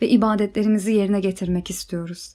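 On a very clean recording with a silent background, a woman with an unremarkable speaking voice speaks at a moderate pace and a fairly high pitch. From Ukraine, Kyiv. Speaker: religious convert. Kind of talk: personal testimony.

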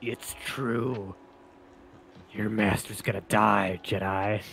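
Someone speaks in a put-on character voice at a very slow pace. Clear background noise is present. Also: man, fairly low pitch for a man. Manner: menacing, theatrical, like an English anime dub villain.

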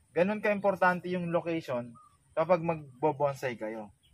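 Recorded dry with no echo, a man speaks at a high pitch. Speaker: bonsai vlogger. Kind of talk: casual vlog chat. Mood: calm, slightly regretful. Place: waterside.

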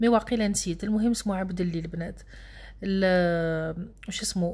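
Her medium-pitched voice is somewhat breathy. The woman talks at a fairly quick pace. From Algeria, Annaba. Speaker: vlogger. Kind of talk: casual vlog narration. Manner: fast, animated.

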